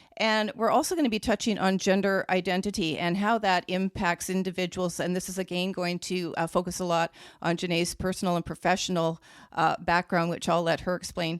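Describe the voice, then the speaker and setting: This woman has an ordinary speaking voice, talking fairly quickly at a medium pitch with fairly even intonation, recorded very cleanly with a silent background and a dry, close sound with no echo. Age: 60s. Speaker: podcast host. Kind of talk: podcast interview.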